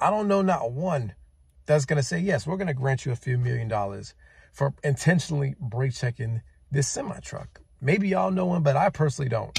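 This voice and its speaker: Fairly high in pitch and somewhat breathy, a man talks at a fairly quick pace with lively intonation, the sound dry with no echo and the background quiet. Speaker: truck driver vlogger. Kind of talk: angry rant to camera, listing everything trucks deliver. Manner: heated, repetitive, emphatic hammering of one point; exasperated, scolding. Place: car. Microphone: phone near.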